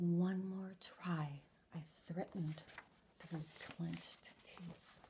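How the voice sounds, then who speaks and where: Softly and with some breathiness, a woman whispers at a very slow pace over light background noise. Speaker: author and ASMR content creator. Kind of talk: ASMR story reading, soft-spoken first-person anecdote. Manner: soft-spoken, whispering, relaxing. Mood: humorous, mock exasperated. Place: home room. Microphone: webcam.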